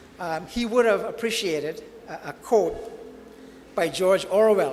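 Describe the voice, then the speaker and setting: A man's high pitch at a moderate pace with ordinary pitch variation and audible room echo. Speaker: author and former history teacher. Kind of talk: book launch talk. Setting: banquet hall with audience. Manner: hesitant, many fillers.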